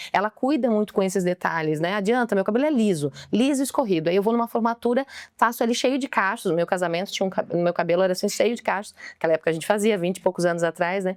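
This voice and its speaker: Her pace is very fast and her intonation lively. The woman's medium-pitched voice sounds dry and close, with no echo. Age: 40s. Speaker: mentor and speaker. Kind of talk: podcast interview. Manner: talkative.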